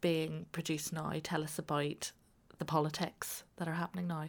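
This woman has a Northern Irish accent. Her pitch sits fairly low. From Northern Ireland. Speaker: podcast host. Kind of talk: interview.

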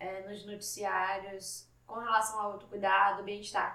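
There is audible room echo as a woman talks at a fairly slow pace in a medium pitch. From Salvador, Bahia, Brazil. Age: 20s. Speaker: podcast host, journalism student. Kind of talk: solo podcast monologue.

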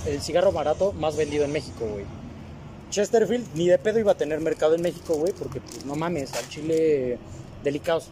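Speaking at a fairly quick pace, a man with a Mexican accent uses lively intonation and a fairly high pitch. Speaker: podcast co-host. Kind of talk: casual chat.

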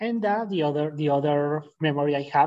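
In a Spanish accent, a man talks with a fairly high pitch. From Colombia, Boyacá. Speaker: language learner guest. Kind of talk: casual interview chat. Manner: halting.

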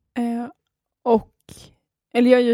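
Dark, mellow tone at a fairly quick pace, in a very clean recording with a silent background. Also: woman. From Skåne, Sweden. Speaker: podcast co-host, craft student. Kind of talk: casual chat.

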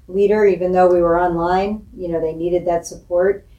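A woman's fairly low, dark and mellow voice in an American accent, at a moderate pace with monotone, flat intonation. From Springfield, Illinois, US Midwest. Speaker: school superintendent. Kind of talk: interview.

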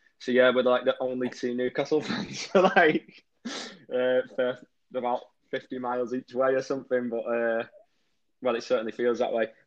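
With a northwest English accent, a man speaks in a medium pitch and fairly even intonation. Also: moderate pace. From northwest England, Warrington. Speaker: rock musician. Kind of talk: interview.

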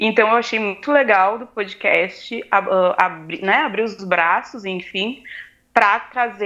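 Speaking very slowly, a woman with a medium-pitched voice and a bright, sharp tone shows ordinary pitch variation. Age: 20s. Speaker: student and activist. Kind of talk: casual interview chat.

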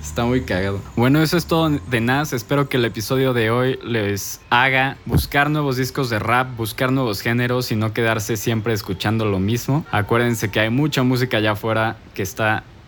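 With a Mexican accent, a man talks at a moderate pace in a medium pitch, his pitch variation ordinary. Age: 20s. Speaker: music enthusiast guest presenter. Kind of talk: casual explainer monologue. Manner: casual, conversational.

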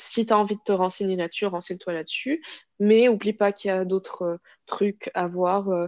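Her pitch is medium and varies in an ordinary way. The woman keeps a moderate pace. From Morocco, Casablanca. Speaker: psychology student. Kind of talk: personal testimony interview. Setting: podcast recording. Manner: hesitant, many fillers and repetitions.

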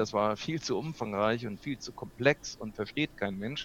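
A man is speaking. His pace is moderate. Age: 60s. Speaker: videographer and video coach. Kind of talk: interview. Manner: hesitant, many fillers.

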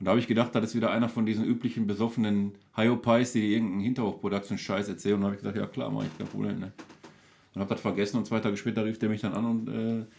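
A man's fairly low, flat, monotone voice with vocal fry, rattling along at a very fast pace. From Duisburg, Ruhr area, Germany. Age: 40s. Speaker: local celebrity, entertainer. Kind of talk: casual chat over beers. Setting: home cellar studio.

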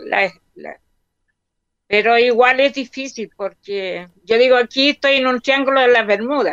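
A woman speaks at a high pitch in a bright, sharp tone, with ordinary pitch variation and a fairly slow pace. The sound is dry and close, with no echo. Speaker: retired hospital worker. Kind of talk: casual chat.

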